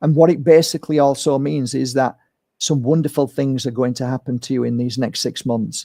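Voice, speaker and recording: In a very clean recording with a silent background, a man speaks at a fairly high pitch with ordinary pitch variation, a dark, mellow tone, and a dry, close sound with no echo. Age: 50s. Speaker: spiritual healer and card reader. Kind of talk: live-streamed inspirational card reading.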